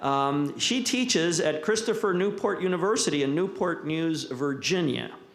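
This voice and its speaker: A man's high voice at a moderate pace with hardly any pauses and very even loudness, plus audible room echo and noticeable background noise. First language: Spanish. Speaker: history professor, symposium moderator. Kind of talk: panel moderation and speaker introduction. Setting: symposium with live audience. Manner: halting, many fillers.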